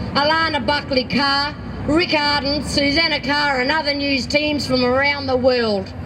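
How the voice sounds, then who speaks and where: A woman speaks at a fairly slow pace in a high, flat monotone, with noticeable background noise and audible room echo. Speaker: activist. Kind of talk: public speech.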